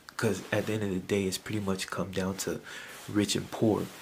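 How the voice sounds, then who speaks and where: A soft-spoken man talks at a fairly quick pace with a fairly low pitch. His intonation is monotone and flat. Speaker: YouTube commentator. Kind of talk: casual vlog commentary. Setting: at home at night. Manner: soft-spoken, talking low; halting, many fillers.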